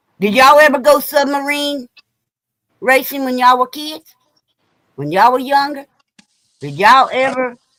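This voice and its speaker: A woman speaks in a high, bright and sharp voice with an animated tone and lively intonation. Her loudness swings widely, her pace is moderate, and she leaves long, frequent pauses. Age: 60s. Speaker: guest on a drinking chat show. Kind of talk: casual chat.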